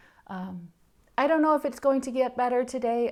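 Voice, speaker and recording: A woman with a Danish accent talks with ordinary pitch variation on a very clean recording with a silent background. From Denmark. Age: 40s. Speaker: knitting podcaster. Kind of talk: casual vlog chat.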